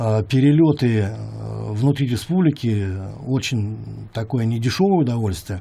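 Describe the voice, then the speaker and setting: A man speaks fairly slowly in a somewhat breathy voice with a dark, mellow tone and lively intonation. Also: medium pitch for a man. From Yakutia, Russia. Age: 60s. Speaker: music producer. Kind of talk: interview monologue. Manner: halting, many fillers.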